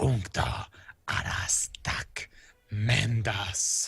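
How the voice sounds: A man puts on a character voice that is guttural and raspy. His pitch sits fairly low.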